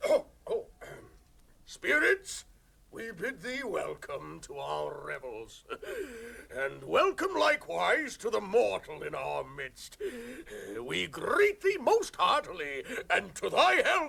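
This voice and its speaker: Putting on a character voice, a man talks fairly slowly and leaves long pauses often. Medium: audio drama. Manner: hearty, laughing, Elizabethan speech.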